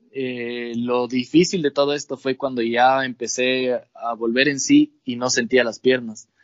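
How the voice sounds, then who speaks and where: The delivery is fairly slow, with hardly any pauses. Intonation stays monotone and flat. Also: man, medium pitch for a man. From Ecuador, Imbabura (Ibarra / Atuntaqui). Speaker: motorcycle racer. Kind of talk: casual chat.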